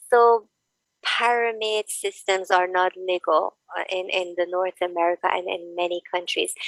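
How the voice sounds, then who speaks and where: The sound is dry and close with no echo. A woman speaks in a medium pitch with fairly even intonation. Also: moderate pace. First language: not English. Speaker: online business owner. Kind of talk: casual chat. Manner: halting.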